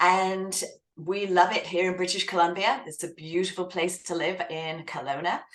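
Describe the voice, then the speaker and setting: With an English accent, a woman talks at a medium pitch and with fairly even intonation. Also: moderate pace. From southern England. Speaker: author and writing coach. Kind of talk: interview.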